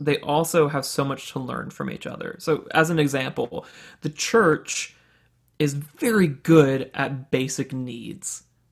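A man with a fairly high pitch and an American accent speaks in a normal speaking voice. His pace is fairly slow, and his loudness swings widely. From US South, Birmingham, Alabama. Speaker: realtor. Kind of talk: casual interview conversation.

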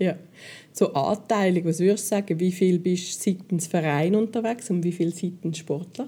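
A woman with a dark, mellow tone and a medium pitch speaks somewhat breathily with ordinary pitch variation, on a very clean recording with a silent background. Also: moderate pace. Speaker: podcast host. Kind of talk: casual interview.

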